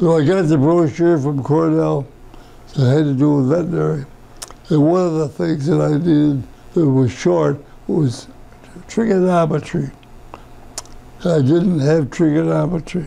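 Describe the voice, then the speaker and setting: With an American accent and a fairly high pitch, a man talks at a moderate pace with very even loudness, ordinary pitch variation and long, frequent pauses over noticeable background noise. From western New York (Rush area). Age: 90s. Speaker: World War II veteran. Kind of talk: oral history interview. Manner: halting, with repetitions and false starts.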